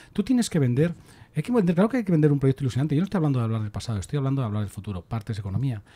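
A very fast man's voice, somewhat breathy, dark and mellow in tone, with very wide pitch swings. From Spain. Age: 60s. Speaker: political commentator. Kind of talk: casual chat. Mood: earnest, argumentative. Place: studio. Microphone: studio mic.

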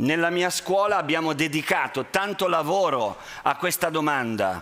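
This man talks at a fairly slow pace with a fairly high pitch. His intonation is lively. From Italy. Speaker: teacher; conference speaker, school teacher. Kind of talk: talk to students via interpreter. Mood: earnest, warm. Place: hall. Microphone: headset.

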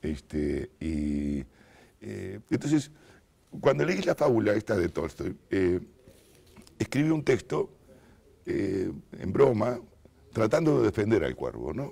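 A man with a Montevideo accent speaks at a very slow pace, his fairly low voice dark and mellow with vocal fry. His pitch swings very widely, broken by long, frequent pauses. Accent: Rioplatense Spanish (Montevideo). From Uruguay, Montevideo; Uruguay. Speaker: writer; interviewee. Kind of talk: interview. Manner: halting, many fillers. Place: studio. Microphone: lapel.

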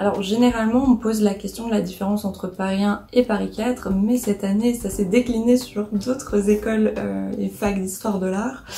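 The intonation is monotone and flat, at a moderate pace. Light background noise is present. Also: woman. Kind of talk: casual vlog chat. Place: home room. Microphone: phone near.

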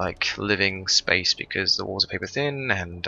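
Quiet and very deep, a man's low-pitched voice holds a fairly even intonation amid noticeable background noise. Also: dry sound with no echo. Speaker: gaming YouTuber. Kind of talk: gameplay commentary. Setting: home recording, thin-walled room. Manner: quiet, low-volume; hesitant, many fillers. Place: home room.

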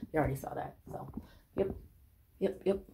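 Light background noise sits behind a woman speaking. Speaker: home DIY vlogger. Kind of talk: casual vlog chat. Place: bathroom. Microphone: phone near.

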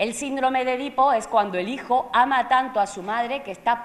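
Speaking at a moderate pace, a woman is heard. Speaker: theatre presenter or actor. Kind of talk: pre-show talk to an audience explaining a classical tragedy. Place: stage.

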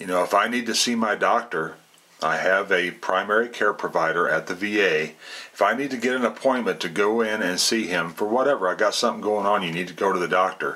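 The speaker has an ordinary speaking voice with ordinary pitch variation. The pace is fairly quick. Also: man, fairly low pitch for a man. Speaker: military veteran and political vlogger. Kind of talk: casual political commentary monologue. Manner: conversational, many fillers.

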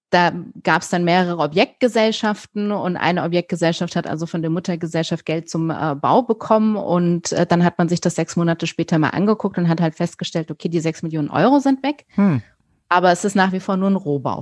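Fairly quick and fairly low-pitched, a woman with an unremarkable speaking voice uses ordinary pitch variation, recorded with a dry, close sound with no echo and a quiet background. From Germany, raised bilingual with English. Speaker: criminal defence lawyer. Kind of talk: interview. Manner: casual, many fillers.

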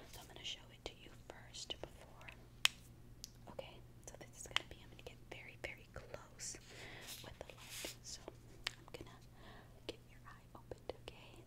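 Against loud background noise, a woman talks at a moderate pace with long, frequent pauses. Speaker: ASMR creator. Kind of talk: ASMR doctor role-play.

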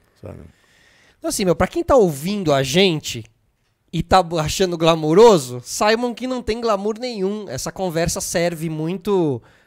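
Speaking fairly slowly with a Brazilian accent, a man with a high pitch uses lively intonation and big swings in loudness against a quiet background. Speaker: podcast host. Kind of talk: casual interview. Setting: studio. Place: studio. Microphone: studio mic.

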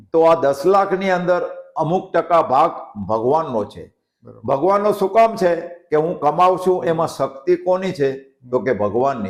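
The loudness swings widely while the intonation stays lively. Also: man, high pitch for a man. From Siyot village, Kutch, Gujarat. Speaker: village elder, sawmill owner. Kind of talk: interview.

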